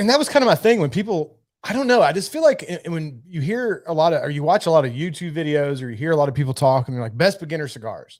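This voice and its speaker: Very fast and very widely swinging in pitch, this man talks in a fairly high voice with an American accent. The recording is very clean, with a silent background. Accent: redneck twang, self-described. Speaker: whiskey and cigar channel host. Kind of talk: casual livestream chat. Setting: livestream, seated away from camera. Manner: casual, halting.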